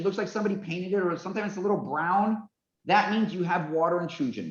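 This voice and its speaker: A loud man. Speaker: forensic construction engineer. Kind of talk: webinar presentation. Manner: fast.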